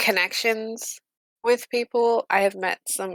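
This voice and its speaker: A woman speaks at a moderate pace in a monotone, flat delivery. The sound is dry and close, with no echo. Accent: British. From Britain. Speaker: streamer. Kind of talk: casual chat. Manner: hesitant, many fillers.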